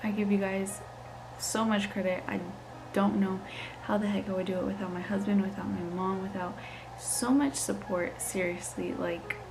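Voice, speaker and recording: A soft-spoken woman with fairly even intonation, amid noticeable background noise and audible room echo. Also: medium pitch for a woman, moderate pace. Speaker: lifestyle vlogger, new mom. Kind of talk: casual Q&A vlog. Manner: casual, filler-heavy.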